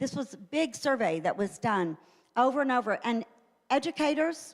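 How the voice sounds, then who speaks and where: A woman speaks at a high pitch and a moderate pace, her pitch swinging very widely. The recording is very clean, with a silent background. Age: 60s. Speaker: church teacher. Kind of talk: church teaching talk. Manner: conversational with fillers.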